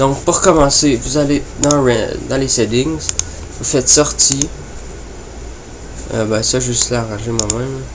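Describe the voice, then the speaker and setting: Audible room echo and noticeable background noise run through the recording. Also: man. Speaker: gaming and graphics youtuber. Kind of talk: tutorial. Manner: halting, many fillers.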